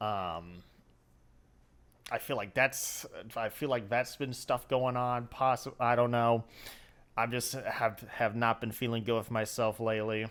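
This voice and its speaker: Recorded very cleanly against a silent background, a man speaks at a medium pitch and a fairly slow pace with fairly even intonation and long, frequent pauses. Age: 20s. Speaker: gaming YouTuber. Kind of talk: casual vlog update. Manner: halting, many restarts.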